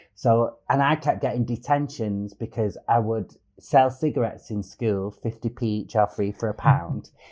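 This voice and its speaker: With a Manchester accent, a man speaks at medium pitch in a dark, mellow tone, going at a fairly slow pace with hardly any pauses and ordinary pitch variation. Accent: northern English (Manchester). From Manchester area, England. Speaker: comedian. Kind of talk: casual chat. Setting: video call. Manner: animated.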